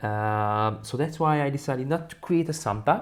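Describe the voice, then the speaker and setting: A man at a moderate pace, with lively intonation. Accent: Hungarian. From Hungary. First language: Hungarian. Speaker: balloon decorating instructor. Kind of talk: software tutorial.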